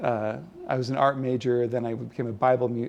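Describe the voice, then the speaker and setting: A man speaks at a moderate pace with a Californian accent. His medium-pitched voice stays monotone and flat. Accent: General American (Californian). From California, San Jose. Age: 60s. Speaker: illustrator. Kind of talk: oral history interview. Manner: halting, many fillers and repeats.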